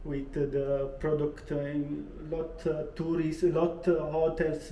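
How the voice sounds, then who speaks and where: Amid audible room echo, a man with an Italian accent speaks very slowly in a fairly high voice with monotone, flat intonation. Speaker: landlord. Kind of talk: casual chat. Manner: halting.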